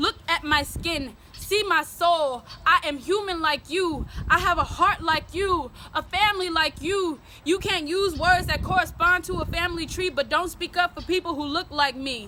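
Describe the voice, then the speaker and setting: Pitch shifts in an ordinary way here. The voice is raised and projected. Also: woman, extremely high pitch for a woman, moderate pace. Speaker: spoken word poet. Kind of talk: spoken word poetry performance, often in call-and-response with a partner.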